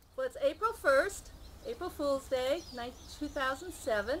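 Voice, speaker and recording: A woman's high-pitched voice with very wide pitch swings and big swings in loudness, at a fairly slow pace, over noticeable background noise. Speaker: oral history interviewer.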